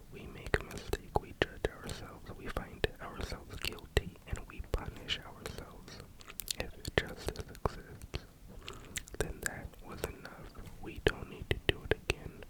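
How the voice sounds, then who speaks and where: Someone is whispering. Noticeable background noise is present. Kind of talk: audiobook-style reading of a self-help book. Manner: whispered, slow.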